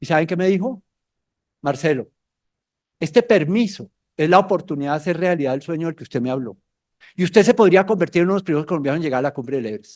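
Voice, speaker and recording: Speaking at a very fast pace with a high pitch, a man leaves long, frequent pauses and swings widely in loudness. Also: lively intonation. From Colombia. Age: 60s. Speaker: mountaineer and motivational speaker. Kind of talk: motivational talk to students. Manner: animated storytelling.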